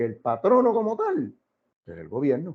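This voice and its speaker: A man talks in an animated tone. He speaks with a Puerto Rican accent. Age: 60s. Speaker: political commentator. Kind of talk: interview.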